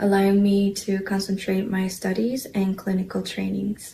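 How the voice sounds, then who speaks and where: A woman speaks in a Korean accent. Her pitch is medium and her pace fairly slow. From South Korea. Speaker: scholarship recipient, dental hygiene student. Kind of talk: prepared speech. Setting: luncheon with audience.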